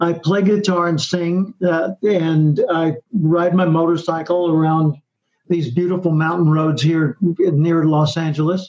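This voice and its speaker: Speaking with an American accent, a man uses a high pitch, fairly even intonation and very even loudness at a fairly slow pace. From US South. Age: 70s. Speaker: professional speaker and author. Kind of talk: interview.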